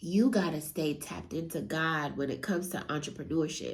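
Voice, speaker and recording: Somewhat breathy, fairly slow speech from a woman. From US West Coast, San Francisco Bay Area. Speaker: real estate entrepreneur and motivational speaker. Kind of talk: motivational talk. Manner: casual.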